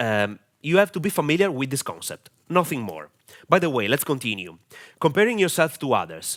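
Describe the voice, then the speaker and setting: Vocal fry marks a man's fairly high pitch, spoken with an Italian accent and very wide pitch swings. The recording is very clean with a silent background. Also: fairly quick pace. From Italy. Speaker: online marketing coach. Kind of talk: tutorial. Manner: halting, many fillers.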